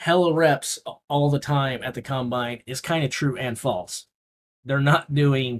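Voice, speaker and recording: A man talks in an ordinary speaking voice at a medium pitch. His pace is fairly slow and his pitch variation ordinary. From Missouri. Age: 50s. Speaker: livestream host. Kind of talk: casual livestream commentary.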